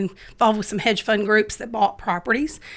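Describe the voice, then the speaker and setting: A woman talks at a very fast pace and medium pitch with a Dallas accent. The recording is very clean, with a silent background. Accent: sounds like she's from Dallas. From Memphis, Tennessee. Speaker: real estate investor. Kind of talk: casual chat. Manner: animated.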